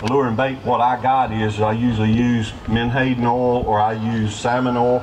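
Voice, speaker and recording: The delivery is monotone and flat, at a moderate pace. Audible room echo and noticeable background noise are present. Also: man. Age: 50s. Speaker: trapper. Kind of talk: live demonstration talk. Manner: casual, folksy.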